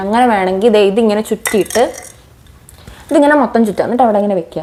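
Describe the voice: A woman's fast-paced voice with a dark, mellow tone and ordinary pitch variation.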